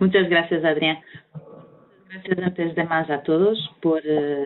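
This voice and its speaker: Using a Portuguese accent, a woman speaks at a moderate pace with a very deep, low pitch and fairly even intonation. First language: Portuguese (speaking Spanish). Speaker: environmental consultant. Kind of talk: webinar presentation. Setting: video call.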